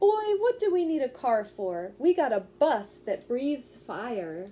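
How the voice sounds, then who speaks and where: A woman performs a put-on character voice at a high pitch, her tone gentle. She speaks at a fairly slow pace with very wide pitch swings. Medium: read story. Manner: gentle, wise.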